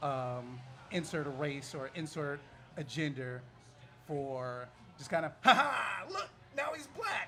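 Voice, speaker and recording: A man with a fairly high pitch speaks at a very slow pace, with fairly even intonation and long, frequent pauses. Audible room echo and noticeable background noise are present. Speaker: comic book panelist. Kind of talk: live panel discussion. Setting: bar with live audience.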